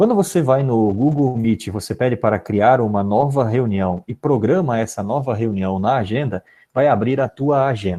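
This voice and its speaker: A man with a medium-pitched, dark, mellow voice speaks at a moderate pace with ordinary pitch variation and hardly any pauses, over a quiet background. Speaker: philosophy teacher giving teacher training. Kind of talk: online training tutorial. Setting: live video conference.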